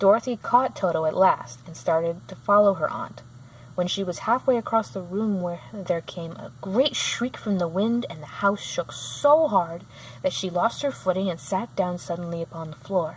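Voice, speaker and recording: At a moderate pace, a woman with a medium pitch speaks with very wide pitch swings. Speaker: channel owner reading a children's book. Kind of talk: reading aloud. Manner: halting.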